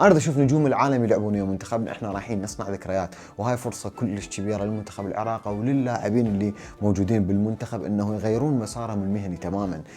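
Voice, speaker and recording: Over noticeable background noise, a man talks very fast in a fairly low pitch, with hardly any pauses. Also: ordinary pitch variation. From Iraq. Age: 30s. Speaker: football analyst. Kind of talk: opinion monologue.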